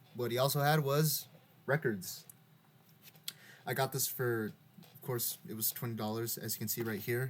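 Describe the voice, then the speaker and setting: A man speaks at a moderate pace and medium pitch, with a somewhat breathy voice, ordinary pitch variation, big swings in loudness, and long, frequent pauses. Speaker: music vlogger. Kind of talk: casual show-and-tell monologue. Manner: halting, repeating words.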